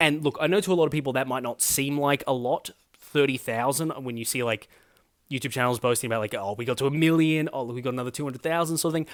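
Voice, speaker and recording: A man with an Australian accent, fairly high-pitched, at a very fast pace with ordinary pitch variation, on a very clean recording with a silent background. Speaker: political commentary YouTuber. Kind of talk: casual vlog monologue. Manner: hesitant, filler-heavy.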